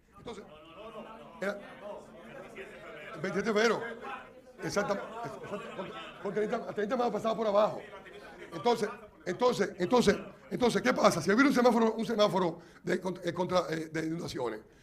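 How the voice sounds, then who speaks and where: Amid crowd noise and audible room echo, a man with a high pitch speaks in an animated tone at a very fast pace, with ordinary pitch variation and long, frequent pauses. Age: 60s. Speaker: engineer. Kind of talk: lecture.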